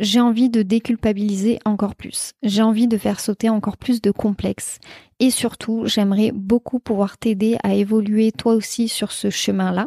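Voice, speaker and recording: A woman speaks at a moderate pace with a fairly high pitch and a dark, mellow tone. Her intonation is monotone and flat, and her voice is somewhat breathy. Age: 20s. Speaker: podcast host, entrepreneur. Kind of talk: solo podcast monologue.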